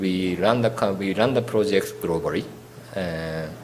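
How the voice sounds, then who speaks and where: A man's very deep, low voice at a very slow pace, with audible room echo and noticeable background noise. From Japan, Tokyo. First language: Japanese. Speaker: architect. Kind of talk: lecture. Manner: halting.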